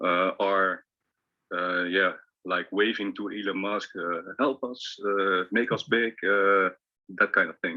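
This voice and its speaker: A man speaks at a very slow pace in a Dutch accent, his pitch fairly low and his intonation fairly even. Long pauses come often. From Netherlands. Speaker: investor asking a question. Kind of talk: live Q&A question. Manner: halting, many fillers.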